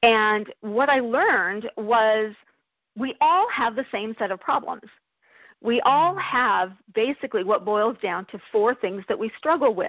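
Here a woman speaks in an ordinary speaking voice with fairly high pitch. Her intonation is lively and her pace fairly slow. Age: 50s. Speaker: life coach and entrepreneur. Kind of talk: interview.

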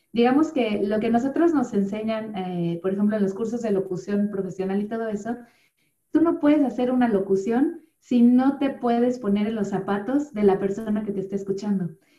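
Her voice is somewhat breathy, with a dark, mellow tone. This woman speaks at a fairly high pitch with ordinary pitch variation. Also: moderate pace. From Mexico City. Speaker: yoga instructor and voice-over artist. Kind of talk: interview conversation.

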